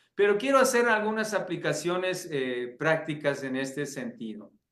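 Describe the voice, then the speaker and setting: A man's bright, sharp voice sits high in pitch, with lively intonation. There is audible room echo around him. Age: 60s. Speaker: pastor and seminary teacher. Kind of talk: lecture.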